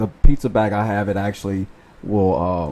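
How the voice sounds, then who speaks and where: A man speaks at a moderate pace in a fairly low voice with a dark, mellow tone and fairly even intonation. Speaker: food delivery driver. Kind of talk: casual talk to camera. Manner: stutters.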